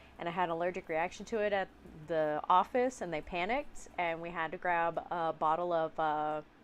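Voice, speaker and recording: A woman speaks in a normal speaking voice at a fairly quick pace. Her pitch is fairly low, with ordinary variation. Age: 30s. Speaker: streamer painting miniatures. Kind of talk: casual chat. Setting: live stream.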